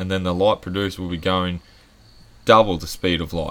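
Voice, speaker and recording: A man with an Australian accent speaks fairly quickly in a very deep, low pitch. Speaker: podcast co-host. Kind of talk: casual chat. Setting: outdoor backyard bar.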